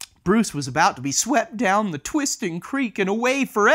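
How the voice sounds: The speaker uses a natural reading voice. It is a natural reading voice throughout.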